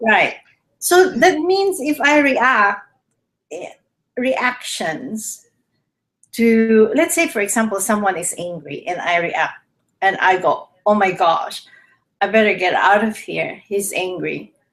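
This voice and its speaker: Fairly high-pitched and swinging very widely in pitch, a woman with a Filipino accent speaks at a very slow pace with long, frequent pauses. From Philippines. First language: Tagalog. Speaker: health show host. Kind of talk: casual chat. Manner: halting.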